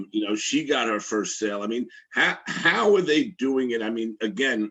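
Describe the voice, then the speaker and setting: This man talks in a Brooklyn accent at a medium pitch. His pace is moderate, with ordinary pitch variation. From Brooklyn, New York. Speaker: interviewer. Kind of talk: interview.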